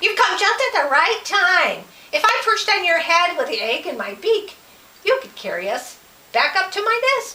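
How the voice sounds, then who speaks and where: The woman's pitch is extremely high. She is doing a put-on character voice. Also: moderate pace. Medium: read story. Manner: sharp, snappy.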